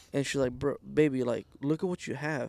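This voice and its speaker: A man talks at a fairly quick pace and a fairly high pitch with fairly even intonation, on a very clean recording with a silent background. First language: Spanish. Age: 20s. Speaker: guest, family business owner. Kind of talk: casual chat.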